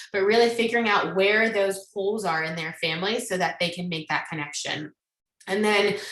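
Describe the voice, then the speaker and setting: Audible room echo surrounds a woman speaking at a medium pitch. Her tone is bright and sharp, with ordinary pitch variation. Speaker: psychologist. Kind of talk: lecture. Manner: fast.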